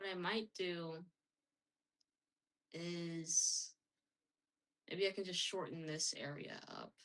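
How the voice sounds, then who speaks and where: A woman's fairly low voice, very slow, with fairly even intonation and long, frequent pauses. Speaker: streamer making a game. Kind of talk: casual working commentary. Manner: hesitant, thinking aloud. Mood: mildly frustrated, puzzled. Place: home room.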